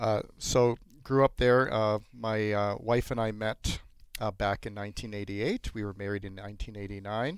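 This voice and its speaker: A man's fairly low, monotone voice with flat intonation and a slight Canadian accent, at a moderate pace, in a very clean recording with a silent background. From Canada, Toronto. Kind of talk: interview. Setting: studio.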